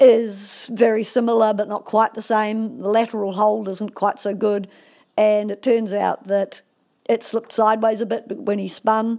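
On a very clean recording with a silent background, a woman with a New Zealand accent talks in a monotone, flat intonation. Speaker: endurance rider. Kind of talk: recorded personal story.

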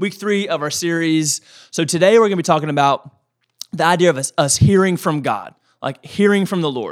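Here a man talks at a fairly quick pace in a high pitch. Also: ordinary pitch variation. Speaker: pastor and podcast co-host. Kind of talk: casual podcast chat on faith. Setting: studio.

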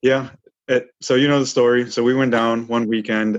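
A man with an American accent, medium-pitched, at a fairly quick pace, a normal speaking voice. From Chicago suburbs. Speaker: war veteran. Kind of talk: interview.

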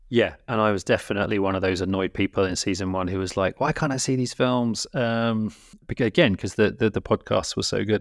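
In a British accent, a man with a fairly low pitch and ordinary pitch variation talks at a fairly quick pace, recorded very cleanly against a silent background with a dry, close sound and no echo. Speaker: podcast co-host and film educator. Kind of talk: casual chat. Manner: hesitant, many fillers.

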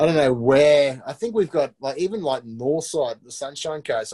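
A man in an Australian accent talks at a moderate pace with ordinary pitch variation. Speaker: reality TV contestant. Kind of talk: casual chat. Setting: video call.

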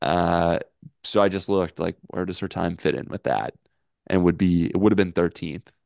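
With vocal fry, a man speaks in a very deep, low voice at a moderate pace and fairly even intonation. The sound is dry and close with no echo, over a quiet background. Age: 20s. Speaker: podcast host. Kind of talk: casual chat.

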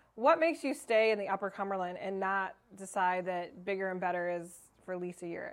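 A woman's normal speaking voice at a medium pitch, with a fairly quick pace and ordinary pitch variation. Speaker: podcast host. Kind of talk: podcast interview. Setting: studio with live audience.

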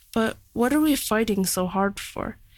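A woman speaks in a normal speaking voice at a medium pitch, on a very clean recording with a silent background. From Canada. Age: young. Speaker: young writer. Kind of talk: reading own reflective prose.

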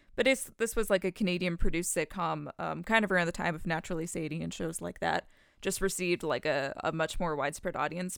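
On a very clean recording with a silent background, a woman talks at a very fast pace in a fairly low pitch, with ordinary pitch variation. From Canada. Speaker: podcast co-host. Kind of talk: casual chat.

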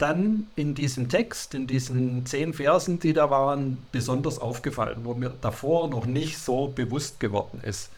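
A man with a fairly high pitch delivers his words fairly slowly. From Germany, Swabia (Sindelfingen). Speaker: churchgoer interviewee. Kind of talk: interview. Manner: halting, many hesitations.

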